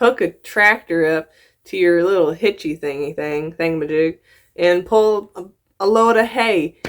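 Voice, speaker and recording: The speaker has a slight Southern US accent and lively intonation. The pace is moderate. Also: woman, big swings in loudness. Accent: slight picked-up Southern. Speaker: YouTuber reacting to videos. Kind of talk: reaction commentary. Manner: animated, halting with repeats.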